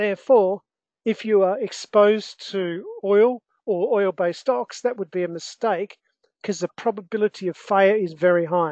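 With an Australian accent, a woman talks at a moderate pace and medium pitch, using ordinary pitch variation in a dry, close sound with no echo. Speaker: investment educator and trader. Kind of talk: live online market analysis webinar. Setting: online webinar with screen share.

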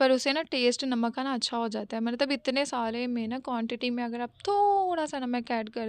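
A woman's high voice at a moderate pace, with ordinary pitch variation and a dry sound with no echo. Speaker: lifestyle vlogger. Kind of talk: casual vlog narration. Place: home room.

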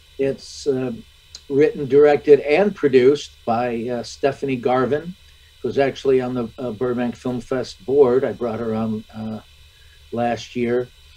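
Speaking at a fairly slow pace with an American accent, a man leaves long, frequent pauses and makes big swings in loudness. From US Midwest, Michigan. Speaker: actor. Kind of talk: interview. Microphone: video call.

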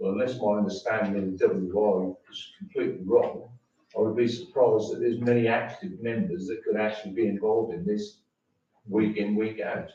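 Fairly quick male speech with audible room echo. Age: 70s. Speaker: member of the public at a council meeting. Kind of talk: public comment at council meeting. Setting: town council meeting room. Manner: halting.

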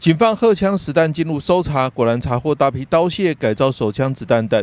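A man with a Taiwanese accent talks at a moderate pace in a fairly high pitch. His pitch variation is ordinary, and the sound is dry and close with no echo. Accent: Taiwanese Mandarin. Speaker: news reporter. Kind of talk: news reading.

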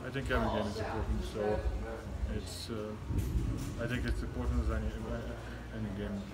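Moderate pace over loud background noise. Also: man. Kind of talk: interview answer. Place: hall. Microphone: phone near.

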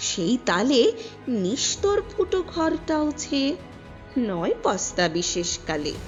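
A woman speaks at a high pitch with very wide pitch swings. Music plays in the background. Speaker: poetry reciter. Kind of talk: poetry reading.

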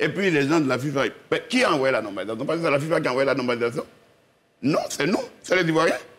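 A man talking at a very fast pace. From Côte d'Ivoire. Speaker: former football club president; TV guest, sports commentator. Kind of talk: TV panel debate. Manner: halting, many repetitions. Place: studio. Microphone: lapel.

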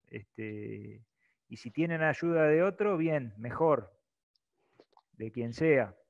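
A man with a medium pitch speaks at a very slow pace, leaving long, frequent pauses against a quiet background. His intonation is lively and his loudness swings widely. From Argentina. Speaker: presenter explaining online registration procedure; presenter. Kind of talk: webinar tutorial. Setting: video call webinar. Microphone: earbuds.

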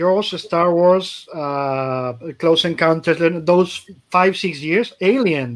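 A man with a Spanish accent talks at a very slow pace, with a high pitch and ordinary pitch variation. The background is quiet. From Spain. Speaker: comic podcast host. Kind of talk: casual chat. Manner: animated. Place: home room.

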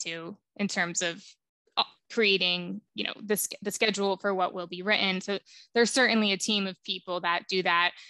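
A woman with an American accent, a bright, sharp tone and moderate pace, in a dry sound with no echo and a quiet background. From New Jersey. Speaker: public health professional; podcast guest. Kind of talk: interview. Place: home room. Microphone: headset.

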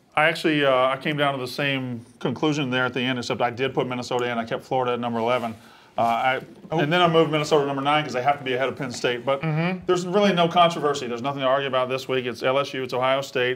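A man with a Southern US accent talks at a very fast pace, medium in pitch, with fairly even intonation. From Mississippi. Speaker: sports betting analyst. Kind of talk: sports talk show. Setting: studio. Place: studio. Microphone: lapel.

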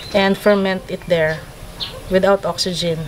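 Over light background noise, a woman speaks in a flat monotone. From Philippines. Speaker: coffee farmer and cafe owner. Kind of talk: explanatory tour talk. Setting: outdoors on a farm. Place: farm machine.

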